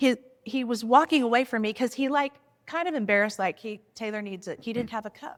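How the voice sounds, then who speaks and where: A woman speaks loudly at a high pitch with lively intonation and a moderate pace. The recording is very clean with a silent background. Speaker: podcast co-host. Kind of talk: casual chat.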